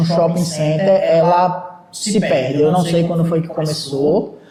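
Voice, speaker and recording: A man talks at a very slow pace. Noticeable background noise and audible room echo surround his voice. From Brazil, Recife (Pernambuco). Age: 20s. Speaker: shopping mall manager. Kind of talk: podcast interview. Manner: hesitant, many fillers and repetitions.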